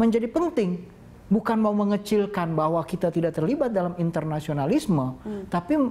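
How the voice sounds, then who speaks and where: Moving at a fairly quick pace, a man speaks with lively intonation. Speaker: cultural observer. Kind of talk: interview answer. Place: studio. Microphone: lapel.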